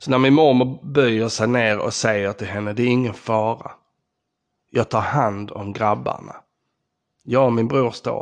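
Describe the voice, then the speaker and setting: A man with a medium pitch talks at a moderate pace, his intonation fairly even but his loudness swinging widely. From southern Sweden, Skåne (Ystad). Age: 40s. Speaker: podcast host. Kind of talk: personal storytelling monologue.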